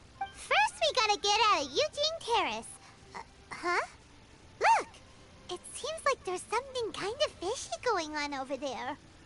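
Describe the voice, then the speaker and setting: Amid loud background noise, a put-on character voice at an extremely high pitch swings very widely in pitch, moving at a moderate pace with long, frequent pauses. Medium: video game. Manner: bright, energetic.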